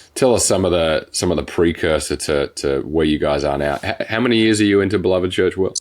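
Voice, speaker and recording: A man with an Australian accent talks at a very fast pace with hardly any pauses. His pitch is very deep and low, with ordinary pitch variation. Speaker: podcast host, church planter. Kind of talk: podcast interview.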